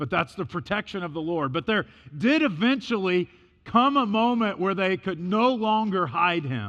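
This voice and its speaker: Shouting loudly at a moderate pace, a man with an American accent uses a high pitch, very wide pitch swings and a bright, sharp tone over a quiet background. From US Midwest, Illinois. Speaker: missionary and preacher. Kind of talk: sermon. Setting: church. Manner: loud, talks as if yelling.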